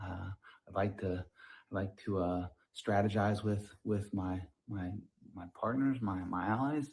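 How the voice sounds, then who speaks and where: With an American accent, a man speaks at a fairly slow pace in a fairly low, somewhat breathy voice. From Atlanta, Georgia, US South. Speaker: game contestant. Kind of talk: self-introduction video. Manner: halting, repetitive.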